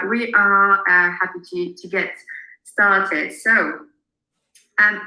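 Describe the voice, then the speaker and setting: A woman with a French accent, very slow and monotone, with long, frequent pauses, big swings in loudness and audible room echo. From France. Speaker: marketing consultant. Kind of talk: webinar presentation.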